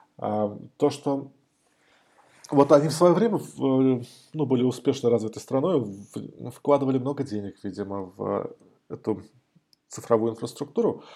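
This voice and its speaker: Using a dark, mellow tone, a man at a medium pitch with ordinary pitch variation speaks at a fairly slow pace with long, frequent pauses. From Moscow, Russia. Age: 40s. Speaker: IT specialist. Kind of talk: casual interview.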